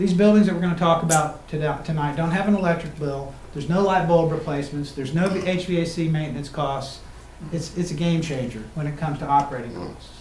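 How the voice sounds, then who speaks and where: This man talks at a very fast pace with a fairly high pitch. His intonation stays fairly even over noticeable background noise. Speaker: construction company presenter. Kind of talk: presentation to county commissioners.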